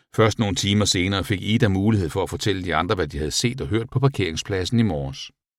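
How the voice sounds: Just a natural reading voice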